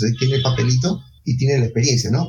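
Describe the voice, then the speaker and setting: A man talks at medium pitch and a fairly quick pace. His voice is somewhat breathy, with ordinary pitch variation. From Peru, Ica. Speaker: bioinformatics society vice president, biologist. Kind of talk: interview.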